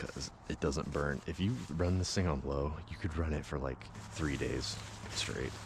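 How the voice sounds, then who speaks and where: Audible room echo surrounds a man whose very deep, low pitch moves with ordinary variation as he talks at a fairly slow pace. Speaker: camping vlogger. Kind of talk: casual vlog narration. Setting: outdoors at a campground. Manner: soft-spoken.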